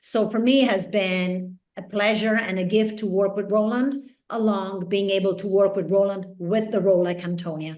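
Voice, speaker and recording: A woman speaks with an Italian accent at a moderate pace, her medium-pitched voice holding fairly even intonation. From Italy. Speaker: actress. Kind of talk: interview.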